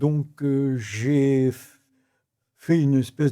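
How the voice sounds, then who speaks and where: A man speaks at a fairly high pitch in a dark, mellow, somewhat breathy tone. The recording is very clean, with a silent background. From Morocco (Rabat), French expatriate family. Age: 80s+. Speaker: real estate developer, entrepreneur. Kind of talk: interview answer.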